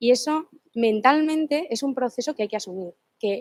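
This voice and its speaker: Recorded with a dry, close sound and no echo, a woman speaks at a moderate pace in a high pitch. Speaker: law student presenting a book. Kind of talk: seminar presentation. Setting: seminar room with live and online audience.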